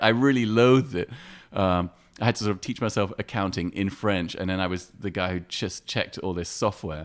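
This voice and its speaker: At a fairly quick pace, a man with an English accent speaks in a very clean recording with a silent background. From England (London) and Morocco (Casablanca). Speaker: artist and photographer. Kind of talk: casual interview.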